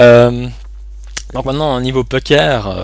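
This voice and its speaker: Very slowly, a man talks while noticeable background noise plays. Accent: Swiss. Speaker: online poker player and streamer. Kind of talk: live gameplay commentary. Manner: halting, many fillers.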